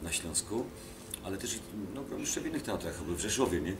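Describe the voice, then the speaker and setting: Through noticeable background noise and audible room echo, a man speaks with lively intonation. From Kielce region, Poland. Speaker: actor. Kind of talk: interview, anecdotes. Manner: animated storytelling with fillers.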